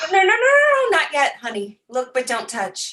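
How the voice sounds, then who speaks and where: A female-sounding put-on character voice, extremely high in pitch, swings very widely up and down at a moderate pace. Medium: audio drama.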